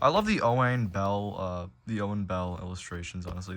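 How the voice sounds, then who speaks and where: A plain, everyday voice at a fairly quick pace with fairly even intonation. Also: man. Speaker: collector showing video tapes. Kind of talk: casual show-and-tell vlog. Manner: casual, filler-heavy.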